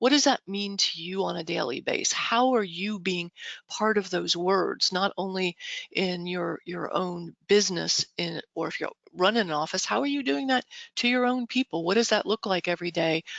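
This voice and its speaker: A woman speaks at a moderate pace with a medium pitch. Her intonation is lively. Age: 60s. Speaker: real estate brokerage director and motivational speaker. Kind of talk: motivational talk. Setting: video call. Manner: conversational.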